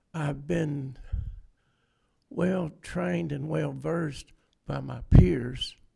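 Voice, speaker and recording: The speech, in a Southern US accent, moves at a very slow pace with long, frequent pauses. Loudness swings widely. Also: man. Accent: Southern US (Georgia). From LaGrange, Georgia. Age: 70s. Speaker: construction business owner. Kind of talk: legislative committee testimony.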